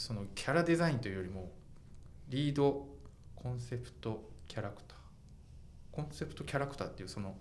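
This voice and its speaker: Talking at a fairly quick pace with long, frequent pauses, a man with a fairly low pitch makes very wide pitch swings amid audible room echo. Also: big swings in loudness. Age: 40s. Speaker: fashion journalist and podcast host. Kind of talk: casual chat.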